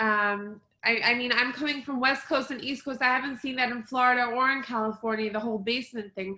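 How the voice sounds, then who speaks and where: A woman's high voice, bright and sharp in tone, at a fairly quick pace with hardly any pauses and fairly even intonation. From Israel. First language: Hebrew. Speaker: interviewer. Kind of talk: casual interview.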